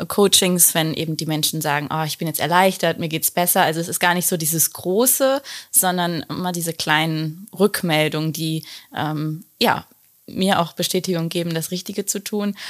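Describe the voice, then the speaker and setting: A woman has a plain, everyday voice with a fairly low pitch and ordinary pitch variation. She speaks at a moderate pace in a very clean recording with a silent background. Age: 30s. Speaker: relationship coach. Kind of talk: casual interview.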